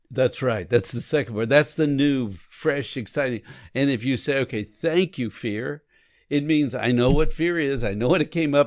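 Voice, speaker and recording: Recorded very cleanly against a silent background, a man speaks at a moderate pace with a medium pitch and ordinary pitch variation. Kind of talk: conversational podcast discussion. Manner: animated.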